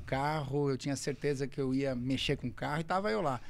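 An ordinary speaking voice from a man, fairly high in pitch, fairly quick in pace, with fairly even intonation. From Brazil. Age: 50s. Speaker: racing driver; podcast guest. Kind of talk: casual chat. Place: studio. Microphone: studio mic.

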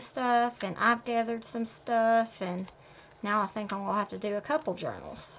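A woman speaks at a moderate pace with ordinary pitch variation. There is light background noise. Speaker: haul vlogger. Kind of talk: casual haul chat. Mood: pleased, relaxed.

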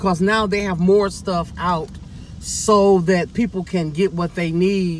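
The sound is dry with no echo as a man speaks over light background noise. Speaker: vlogger. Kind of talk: casual vlog monologue. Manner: rambling, halting. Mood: cheerful, joking. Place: car. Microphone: phone near.

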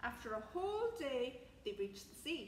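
A woman speaks at a fairly slow pace, her voice high and swinging widely in pitch. Faint background noise sits underneath.

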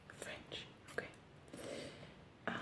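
A woman is whispering. She goes at a fairly slow pace. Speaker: ASMR creator playing hairdresser. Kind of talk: ASMR personal attention roleplay, friendly haircut. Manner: whispered. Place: home room.

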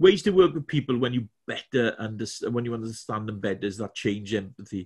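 A man with a Welsh accent talks at a fairly quick pace with lively intonation. His voice is somewhat breathy, over a quiet background. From Wales. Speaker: corporate trainer. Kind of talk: webinar presentation. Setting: video call from home. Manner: halting, many fillers and repetitions. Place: home room.

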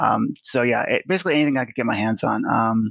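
In a General American accent, an unremarkable speaking voice moves at a moderate pace, the sound dry and close with no echo over a quiet background. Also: man. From US West (Nevada). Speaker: digital artist. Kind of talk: casual interview.

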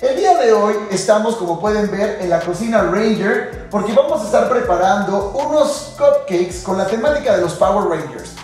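Faint music plays in the background as a man speaks in a high voice with audible room echo. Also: ordinary pitch variation, moderate pace. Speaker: show host. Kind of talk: cooking show presentation. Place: kitchen.

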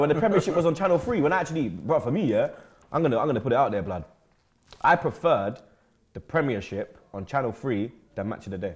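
With vocal fry and an animated tone, a man talks at a very fast pace broken by long, frequent pauses. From London. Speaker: football fan pundit. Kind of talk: casual banter; casual football debate. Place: studio.

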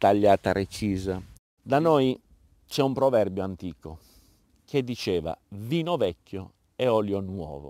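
Over a quiet background, a man with a fairly low pitch and a dark, mellow tone talks at a very slow pace, the sound dry with no echo. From Apulia, southern Italy. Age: 50s. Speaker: olive farmer. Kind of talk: interview. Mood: proud, explanatory. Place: farm.

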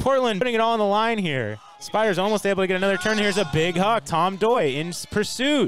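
A high-pitched man talking at a very fast pace with lively intonation, amid noticeable background noise. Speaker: play-by-play commentator. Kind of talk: live sports commentary.

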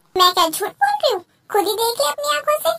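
In a put-on character voice, a woman squeaks at an extremely high pitch and a very fast pace. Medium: audio drama. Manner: chatty, animated.

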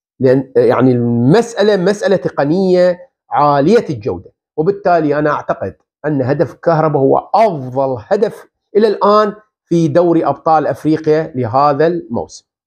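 Against a quiet background, a man speaks at a fairly slow pace. His fairly high voice has lively intonation. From Iraq. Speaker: football pundit. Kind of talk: video commentary monologue. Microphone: lapel.

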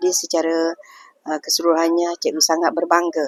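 A woman's voice, dry and close with no echo. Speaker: senior teacher. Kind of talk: interview. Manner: hesitant with many fillers.

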